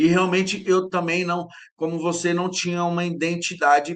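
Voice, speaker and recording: The man's voice sits high, and he talks at a moderate pace. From Brazil, interior of São Paulo state (Jales). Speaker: personal development specialist. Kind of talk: interview, personal life story. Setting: live stream. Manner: halting, many repetitions and false starts.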